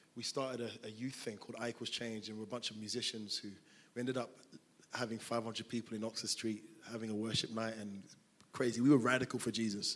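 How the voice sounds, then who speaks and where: In a London accent, a man speaks at a very fast pace with monotone, flat intonation. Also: medium pitch for a man. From South London. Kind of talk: interview in a church service. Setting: church stage with congregation.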